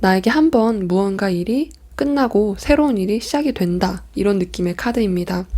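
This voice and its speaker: Her intonation lively, a woman speaks at a moderate pace and a medium pitch. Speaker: tarot reader. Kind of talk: tarot reading. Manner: speeds up at times.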